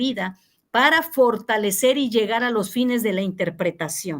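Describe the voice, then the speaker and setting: A woman with a high-pitched voice speaks fairly slowly with lively intonation. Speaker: university teacher. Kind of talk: online class feedback session. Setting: video call.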